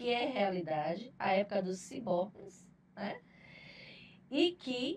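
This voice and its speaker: At a very slow pace with long, frequent pauses, a woman speaks at a medium pitch, somewhat breathy, with lively intonation. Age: 60s. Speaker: HR manager. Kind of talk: podcast panel discussion.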